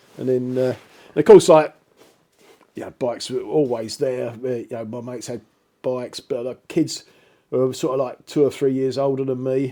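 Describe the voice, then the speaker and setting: At a moderate pace and medium pitch, a man with a dark, mellow tone uses fairly even intonation, long, frequent pauses and big swings in loudness. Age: 60s. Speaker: retired motorcyclist telling life story. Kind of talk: casual storytelling interview.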